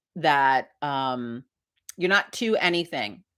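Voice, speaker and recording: A woman speaks loudly with a New York accent, her tone animated and her pitch swinging very widely. The recording is very clean, with a silent background. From Hudson Valley, New York. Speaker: livestream host, witch society founder. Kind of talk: casual livestream chat. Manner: loud, animated.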